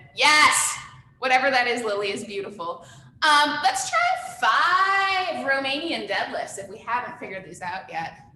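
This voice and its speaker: A woman with a high-pitched voice swings very widely in pitch and greatly in loudness at a moderate pace. Noticeable background noise and audible room echo surround her. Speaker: fitness instructor. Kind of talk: live online workout class. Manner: upbeat, encouraging.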